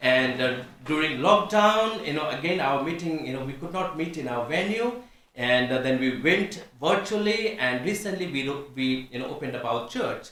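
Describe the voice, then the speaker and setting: A man with a Nepali accent, fairly high pitch and lively intonation at a moderate pace, with audible room echo and noticeable background noise. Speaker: pastor. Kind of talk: testimony. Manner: halting.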